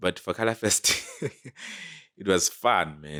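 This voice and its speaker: A man with a Lesotho accent is heard in a dry, close sound with no echo. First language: Sesotho. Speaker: clothing brand cofounder. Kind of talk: casual interview. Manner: code-switching English and Sesotho.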